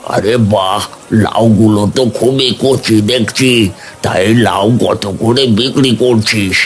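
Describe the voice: A cartoonish character voice from a man, medium in pitch, at a fairly slow pace over clear background noise.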